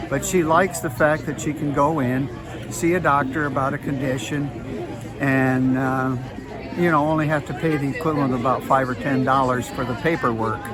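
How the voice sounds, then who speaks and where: Over crowd noise and audible room echo, a man speaks at a fairly quick pace in a fairly high pitch with fairly even intonation. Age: 80s+. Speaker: music professor and conductor. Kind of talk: street interview. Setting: outdoors at a farmers market. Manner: hesitant, many fillers.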